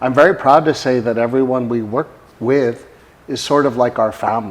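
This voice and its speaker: A man speaks in a plain, everyday voice at medium pitch. His pace is moderate and his pitch variation ordinary. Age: 60s. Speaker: company founder and healthcare executive. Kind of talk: product testimonial; casual conversation with spouse about their company.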